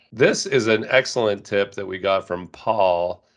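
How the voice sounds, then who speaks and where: A put-on character voice, nasal and with fairly even intonation, set against a quiet background. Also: man. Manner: exaggerated, reading an email.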